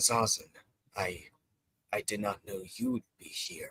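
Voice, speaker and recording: A man's raspy, put-on character voice at a medium pitch, fairly slow, with a dry, close sound and no echo. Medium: game stream. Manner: terse, grumbling.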